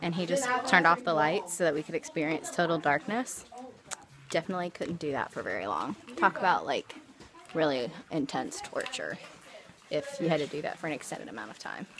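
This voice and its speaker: Over noticeable background noise, a woman with a fairly low pitch makes very wide pitch swings. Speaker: travel vlogger. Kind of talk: casual vlog narration. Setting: inside a cave.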